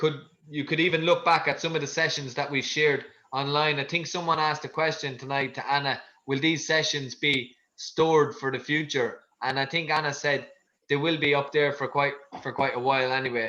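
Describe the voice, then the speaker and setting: In a bright, sharp tone, a man talks at a fairly quick pace with fairly high pitch and monotone, flat intonation. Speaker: fitness coach. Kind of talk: online fitness class talk. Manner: fast.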